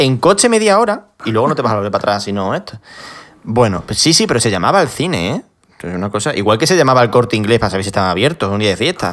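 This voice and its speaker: Talking very fast, a man uses a medium-pitched voice. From Spain, Extremadura (village near Badajoz). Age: 20s. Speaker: podcast host. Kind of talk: casual chat.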